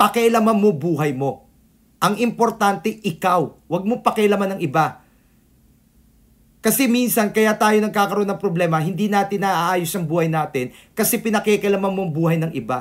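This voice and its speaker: High-pitched male voice with ordinary pitch variation, on a very clean recording with a silent background. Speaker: feng shui consultant. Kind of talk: video tutorial and life advice. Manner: halting, stuttering.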